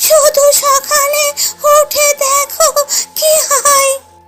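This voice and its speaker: A cartoonish character voice from a woman, extremely high in pitch and monotone, flat in intonation, over faint music in the background. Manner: warm, calm, advising.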